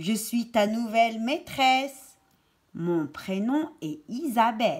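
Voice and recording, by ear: Someone reads aloud here in a natural voice.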